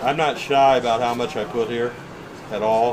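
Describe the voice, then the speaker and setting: A man speaks fairly slowly while noticeable background noise runs underneath. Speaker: RV repair technician. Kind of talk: hands-on demonstration. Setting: outdoors at an RV rally. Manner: casual, conversational.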